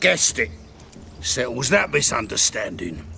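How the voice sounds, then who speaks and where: In a put-on character voice, a raspy man at medium pitch swings his pitch very widely at a moderate pace, with clear background noise behind him. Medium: video game. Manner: coarse, defensive, common speech.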